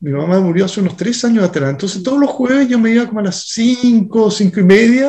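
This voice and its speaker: A man's high pitch and dark, mellow tone with lively intonation at a fairly quick pace. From Chile. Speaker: restaurant co-owner and sustainability activist. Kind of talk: interview.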